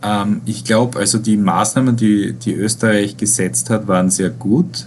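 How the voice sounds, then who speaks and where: A man with a fairly low pitch makes very wide pitch swings as he talks. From Austria, Styria. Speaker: virologist and professor. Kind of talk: interview. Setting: online interview. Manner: hesitant, many filler sounds. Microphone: poor sound quality.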